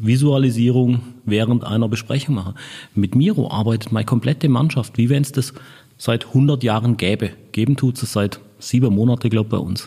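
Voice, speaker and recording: A man's medium-pitched, somewhat breathy voice with a dark, mellow tone, at a moderate pace. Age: 50s. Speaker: marketing director. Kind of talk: interview. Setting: in person at an agency office.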